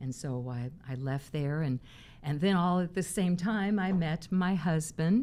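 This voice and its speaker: A woman with an ordinary speaking voice and an American accent, fairly low in pitch, with lively intonation at a fairly slow pace. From US Midwest, Missouri. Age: 60s. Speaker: pageant winner. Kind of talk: interview.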